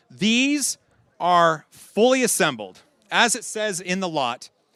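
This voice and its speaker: A man's raised, projected voice, high-pitched and bright and sharp in tone, with lively intonation. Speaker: auctioneer. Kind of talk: live charity auction calling. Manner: upbeat, fast, energetic.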